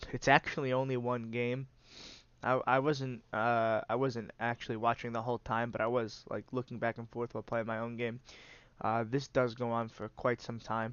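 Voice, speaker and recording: Speaking at a medium pitch, a man talks with a monotone, flat intonation. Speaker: gaming channel host, card game commentator. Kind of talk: gameplay commentary. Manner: casual, hesitant with many fillers.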